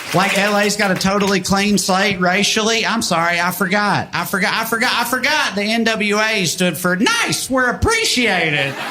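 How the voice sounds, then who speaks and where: A man's raised, projected voice, high in pitch with ordinary pitch variation, at a moderate pace with hardly any pauses and very even loudness, amid audible room echo and background music. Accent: Southern US. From US South. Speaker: stand-up comedian. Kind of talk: stand-up.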